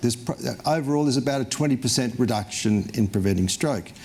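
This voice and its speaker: Over noticeable background noise, a man at a medium pitch speaks with lively intonation. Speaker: cardiologist. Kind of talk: lecture. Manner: fairly halting, frequent fillers.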